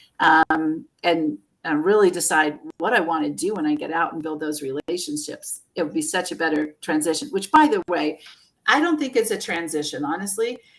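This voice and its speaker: A woman with a plain, everyday voice and fairly low pitch talks at a moderate pace with ordinary pitch variation. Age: 60s. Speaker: career coach. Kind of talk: interview.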